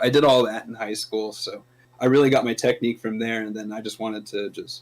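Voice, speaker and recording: With an American accent, a man uses a normal speaking voice at medium pitch, fairly even intonation and a moderate pace. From US West Coast, Bay Area. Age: 30s. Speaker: death metal vocalist. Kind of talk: casual interview. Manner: casual, filler-heavy.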